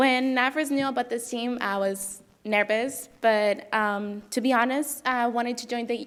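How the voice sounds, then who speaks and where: A woman with a non-native accent speaks at a moderate pace. Her pitch is high and her intonation fairly even. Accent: foreign. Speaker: international college student, debate team member. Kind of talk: prepared speech at board meeting. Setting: board meeting room.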